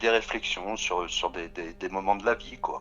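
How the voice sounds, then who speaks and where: A man at a fairly slow pace. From Paris region, France. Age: 60s. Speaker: singer-songwriter. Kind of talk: radio interview. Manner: halting, many hesitations.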